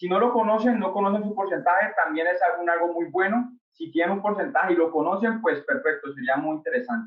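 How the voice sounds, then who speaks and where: A high-pitched man with a slight Colombian accent, fairly quick pace, lively intonation and hardly any pauses. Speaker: startup founder, industrial engineer. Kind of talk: webinar presentation. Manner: hesitant, many fillers.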